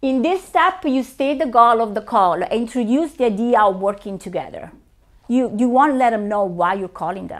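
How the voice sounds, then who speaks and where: The speaker has an Italian accent and lively intonation. The pace is moderate. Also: woman, fairly high pitch for a woman. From Italy. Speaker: realtor and presenter. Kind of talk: training presentation.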